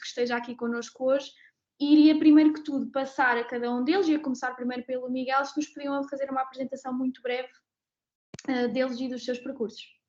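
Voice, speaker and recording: A woman speaks at a high pitch and a fairly quick pace. Her intonation stays fairly even. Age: 20s. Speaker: pharmaceutical policy specialist, moderator. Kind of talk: webinar panel moderation.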